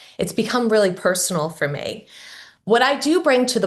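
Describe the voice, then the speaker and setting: A woman's somewhat breathy voice with lively intonation and a fairly quick pace, against a quiet background. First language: not English. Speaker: school board candidate. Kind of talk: candidate forum opening statement.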